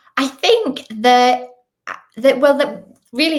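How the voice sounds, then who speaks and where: A woman speaks with a Northern Irish accent. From Northern Ireland, Belfast. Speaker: children's author. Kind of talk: interview.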